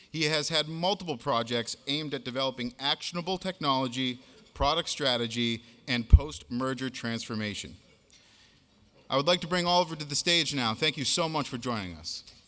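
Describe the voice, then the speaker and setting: An American accent marks this man's voice, which has a medium pitch, a bright, sharp tone, ordinary pitch variation and a fairly quick pace. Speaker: event host. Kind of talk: speaker introduction.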